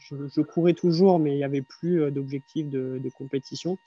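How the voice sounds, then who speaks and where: The man's dark, mellow tone and fairly even intonation come through with a dry, close sound and no echo. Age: 30s. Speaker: mental coach and runner. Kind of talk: casual interview.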